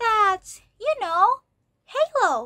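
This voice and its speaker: The speaker uses a put-on character voice. It sounds squeaky. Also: woman. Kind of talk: bedtime story. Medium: read story.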